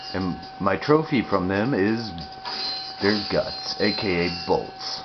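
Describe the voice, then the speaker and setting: This man's fairly low voice makes very wide pitch swings. Audible room echo and noticeable background noise fill the recording. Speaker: gaming youtuber. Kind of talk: gameplay commentary. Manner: quiet.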